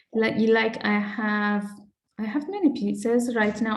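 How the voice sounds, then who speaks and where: Audible room echo surrounds a woman speaking at a fairly slow pace in a Persian accent. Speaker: artist. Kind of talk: interview. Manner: halting, with many repetitions.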